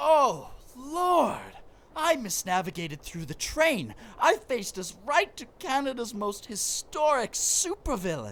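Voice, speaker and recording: This put-on character voice sits at a fairly high pitch, swinging very widely in pitch at a fairly slow pace. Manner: pompous, theatrical.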